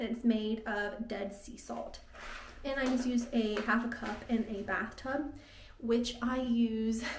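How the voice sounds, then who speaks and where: Amid noticeable background noise and audible room echo, a woman talks at a fairly high pitch. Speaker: vlogger. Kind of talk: casual vlog talk to camera.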